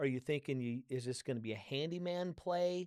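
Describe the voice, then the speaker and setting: This man has an ordinary speaking voice with fairly high pitch and ordinary pitch variation. His sound is dry and close with no echo. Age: 60s. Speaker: podcast host and author. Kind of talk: casual interview chat.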